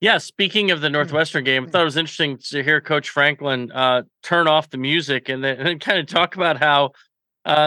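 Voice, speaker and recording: A man talks in an unremarkable speaking voice at a fairly high pitch. His pace is moderate, with ordinary pitch variation. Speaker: radio co-host. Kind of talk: casual sports talk.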